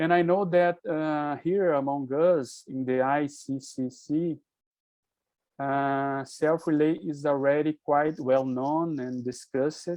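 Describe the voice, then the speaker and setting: A man's fairly high voice with a Brazilian accent, very slow pace and fairly even intonation. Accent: non-native English, Brazilian Portuguese. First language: Portuguese. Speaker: physician and presenter. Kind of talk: online presentation. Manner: halting, hesitant.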